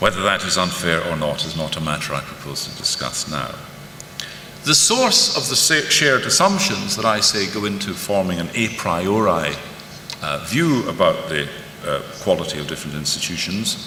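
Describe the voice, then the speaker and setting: Against noticeable background noise and audible room echo, a man with a fairly low pitch speaks at a moderate pace with lively intonation. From Scotland. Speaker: professor. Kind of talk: conference lecture. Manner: formal.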